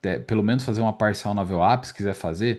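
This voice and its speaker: A man speaks in a fairly low pitch with ordinary pitch variation. The background is quiet. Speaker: day trading instructor. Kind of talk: market recap tutorial. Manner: fast; casual, filler-heavy.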